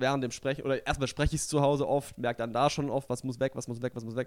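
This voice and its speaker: A man at medium pitch with ordinary pitch variation, in a very clean recording with a silent background. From southwestern Germany (Stuttgart area). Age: young. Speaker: comedian and magician. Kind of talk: casual interview chat.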